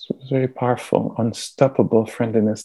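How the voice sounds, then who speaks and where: A man's voice at medium pitch with a dark, mellow tone and monotone, flat intonation, in a dry, close sound with no echo. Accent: French. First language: French. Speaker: meditation teacher. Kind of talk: dharma talk and guided meditation. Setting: video call. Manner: slow; soft-spoken.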